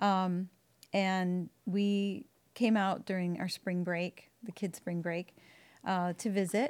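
In a very clean recording with a silent background, a woman speaks at a medium pitch. She talks very slowly with fairly even intonation. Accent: American. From Wisconsin, suburb of Milwaukee. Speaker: churchgoer sharing her story. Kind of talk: interview testimony. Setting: church building recording.

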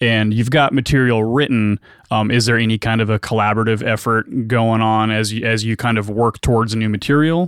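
A man's unremarkable speaking voice, medium in pitch, at a fairly quick pace with very even loudness, on a very clean recording with a silent background. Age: 40s. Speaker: podcast host. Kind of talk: casual interview. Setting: guest's studio, in person.

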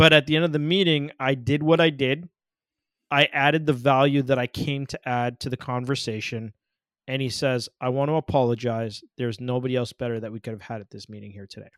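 A man with a normal speaking voice talks at a medium pitch and fairly quick pace, with ordinary pitch variation and big swings in loudness, in a very clean, silent-background recording that sounds dry and close with no echo. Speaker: podcast host. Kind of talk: podcast hosting, interview.

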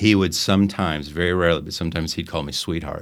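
A man with a General American accent and a very deep, low pitch speaks with fairly even intonation in a very clean recording with a silent background. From Arizona. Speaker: parish children's faith formation director. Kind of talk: testimony.

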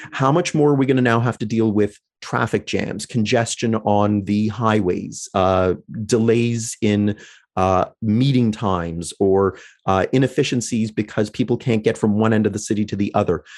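With a Canadian accent and an ordinary speaking voice, a man speaks at a fairly low pitch with ordinary pitch variation against a quiet background. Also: moderate pace, very even loudness. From Canada, London, Ontario. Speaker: economics lecturer. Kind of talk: interview.

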